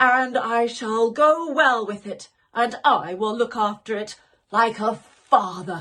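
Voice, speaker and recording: A woman's put-on character voice, fairly high in pitch, at a fairly slow pace. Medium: read story. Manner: stern, commanding.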